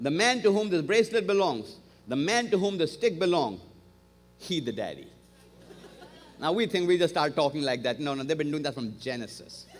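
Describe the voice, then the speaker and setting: A man with a non-native accent speaks in a high, animated voice with very wide pitch swings and long, frequent pauses. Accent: foreign accent, noticeable. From outside the US, came to America at 20. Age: 50s. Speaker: guest preacher. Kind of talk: sermon. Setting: church service with congregation. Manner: animated storytelling.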